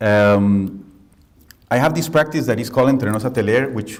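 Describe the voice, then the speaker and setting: Someone speaks in a Costa Rican accent at a moderate pace. Room echo is audible. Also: man. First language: Spanish. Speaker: architect and professor. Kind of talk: lecture. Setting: lecture hall with audience. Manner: halting.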